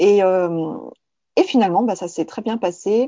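A woman speaks fairly slowly at a medium pitch, with ordinary pitch variation. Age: 30s. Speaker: artist and graphic designer. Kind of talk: casual conversation. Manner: hesitant, with fillers.

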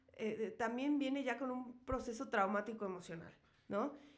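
At a moderate pace, a woman talks in an unremarkable speaking voice with ordinary pitch variation. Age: 30s. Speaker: podcast host. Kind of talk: casual chat.

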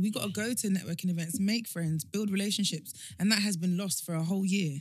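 Somewhat breathy, a woman talks very fast at a medium pitch with ordinary pitch variation. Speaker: guest, founder of a women's network. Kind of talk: casual chat.

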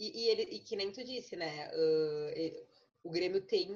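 Lively intonation runs through a woman's medium-pitched voice. It is an unremarkable speaking voice. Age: 20s. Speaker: lawyer. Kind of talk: casual chat.

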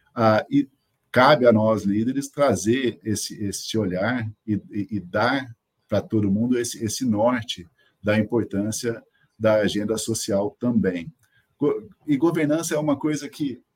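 Fairly slow delivery with ordinary pitch variation. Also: man, medium pitch for a man. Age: 50s. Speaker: company CEO. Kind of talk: interview. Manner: hesitant, many fillers.

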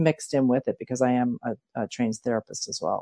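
A woman with an American accent talks very fast, and the sound is dry and close with no echo. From Philadelphia, US. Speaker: life coach, new co-host. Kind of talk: casual conversation.

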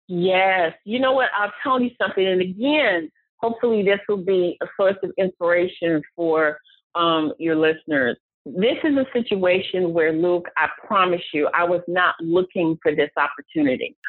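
A woman talks with an ordinary speaking voice at a medium pitch and moderate pace. Her intonation is lively and her loudness very even. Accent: American. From Cleveland, Ohio. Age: 40s. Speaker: private investigator. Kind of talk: interview.

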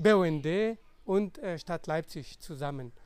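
Lively intonation marks a man's speech in a non-native accent. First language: non-native German speaker (speaking German). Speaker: scientist and conservation volunteer. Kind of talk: podcast interview. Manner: halting, many fillers.

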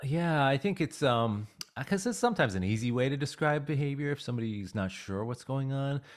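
A man with an American accent speaks at a fairly quick pace in a plain, everyday voice. His pitch is fairly high and his intonation lively. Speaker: dog aggression trainer. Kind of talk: casual interview chat.

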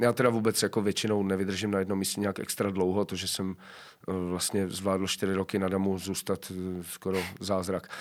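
A man's very deep, low voice at a moderate pace, with monotone, flat intonation. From Czechia, South Moravia near Brno. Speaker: actor. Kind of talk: casual interview chat. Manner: halting, many fillers.

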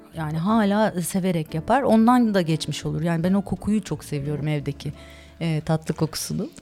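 A woman with a plain, everyday voice, fairly low in pitch, talks at a moderate pace with lively intonation. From Turkey (Istanbul and Ankara). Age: 40s. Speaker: ice cream and dessert shop owner. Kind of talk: casual interview chat.

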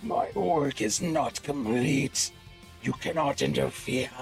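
Over clear music in the background, a man puts on a character voice, pitched fairly high and delivered at a fairly slow pace. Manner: ominous.

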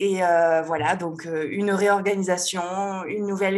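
A woman speaks at medium pitch with ordinary pitch variation. It is an ordinary speaking voice. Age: 30s. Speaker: web designer and WordPress trainer. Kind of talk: casual interview chat.

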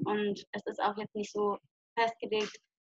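An ordinary speaking voice, a woman with a fairly high pitch at a moderate pace, in a dry, close sound with no echo. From southwest Germany, Lörrach. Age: 20s. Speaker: long-term hitchhiking traveller. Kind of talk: interview. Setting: video call.

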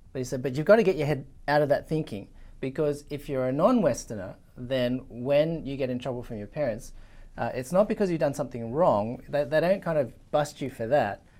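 A man's fairly high-pitched voice with an Australian accent, dark, mellow tone and lively intonation at a moderate pace, on a very clean recording with a silent background. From Sydney, Australia (Chinese-Australian). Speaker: Old Testament lecturer. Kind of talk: interview discussion.

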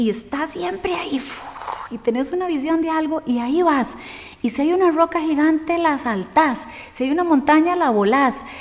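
Against noticeable background noise, a woman speaks at a moderate pace with a high pitch, a warm tone and ordinary pitch variation. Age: 40s. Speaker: yoga and meditation teacher. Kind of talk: interview. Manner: warm, effusive.

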